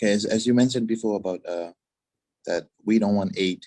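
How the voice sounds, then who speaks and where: In a Tuvaluan accent, a man speaks with a dark, mellow tone and fairly even intonation. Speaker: climate activist. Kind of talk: panel discussion. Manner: halting, searching for words.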